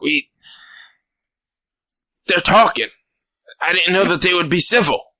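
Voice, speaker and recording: A raspy put-on character voice at a middle pitch and a moderate pace. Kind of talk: acted. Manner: surprised.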